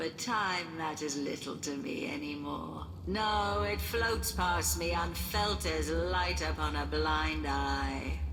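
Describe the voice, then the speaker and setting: Someone puts on a character voice at a very slow pace. Loud background noise runs underneath. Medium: video game. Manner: regal, theatrical.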